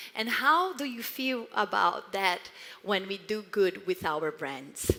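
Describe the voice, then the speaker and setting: With a Brazilian accent, a woman of medium pitch talks at a very slow pace with very wide pitch swings, over noticeable background noise. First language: Portuguese. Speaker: marketing executive. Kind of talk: conference talk.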